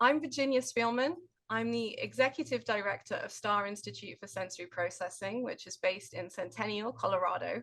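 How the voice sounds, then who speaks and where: A woman's fairly high voice with vocal fry in a British accent, lively intonation and big swings in loudness. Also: fairly quick pace. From Britain. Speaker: occupational therapist and nonprofit director. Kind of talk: webinar conversation.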